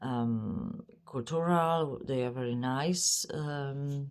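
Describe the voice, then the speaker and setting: Very slow and with lively intonation, a woman speaks at a very deep, low pitch with a non-native accent. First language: not English. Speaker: psychic medium. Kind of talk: spiritual channeling monologue. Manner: halting, many fillers.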